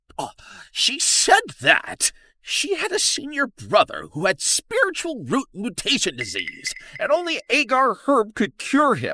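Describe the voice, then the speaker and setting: A put-on character voice, pitched high, delivers the lines at a fairly slow pace. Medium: fan dub. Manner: excitable, talkative.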